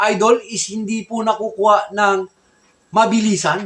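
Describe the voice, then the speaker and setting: A man's raised, projected voice at a fairly slow pace. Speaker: gamefowl breeder vlogger. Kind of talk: casual vlog talk.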